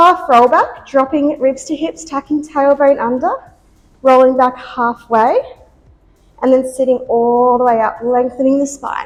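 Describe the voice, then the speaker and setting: Over music in the background, a woman speaks in a high pitch with ordinary pitch variation. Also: fairly slow pace. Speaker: pilates instructor. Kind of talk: workout instruction. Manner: encouraging.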